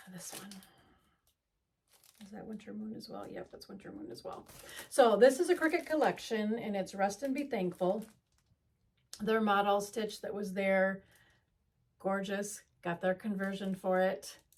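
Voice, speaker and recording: A woman's somewhat breathy, medium-pitched voice at a moderate pace, with long, frequent pauses, big swings in loudness and ordinary pitch variation. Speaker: cross-stitch video creator. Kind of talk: casual haul show-and-tell. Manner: halting, many fillers.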